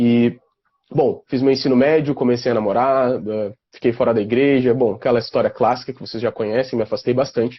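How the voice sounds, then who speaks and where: Using an ordinary speaking voice, a man talks at a fairly quick pace and a medium pitch, with fairly even intonation. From southern Brazil, Porto Alegre (Rio Grande do Sul). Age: 20s. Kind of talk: casual interview on a live stream.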